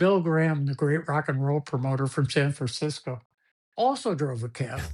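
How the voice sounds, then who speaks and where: Over a quiet background, a man with a fairly high, somewhat breathy voice speaks at a moderate pace with ordinary pitch variation. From Cuba. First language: Spanish. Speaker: sports executive, war veteran. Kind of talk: podcast interview. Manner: animated storytelling.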